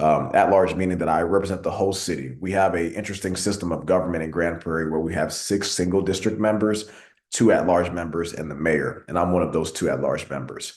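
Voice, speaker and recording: A man's very deep, low voice with a Texan accent, very fast and with hardly any pauses, in audible room echo. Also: fairly even intonation. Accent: Texan American English. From Texas, Arlington (moved from Nigeria at two). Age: 20s. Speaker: city council member. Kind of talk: speech at an online meeting.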